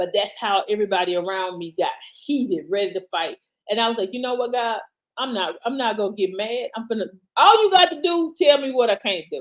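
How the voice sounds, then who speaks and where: Loud and fairly quick, a woman speaks with a fairly high pitch. Her voice swings very widely in pitch. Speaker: author and motivational speaker. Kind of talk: casual live stream talk.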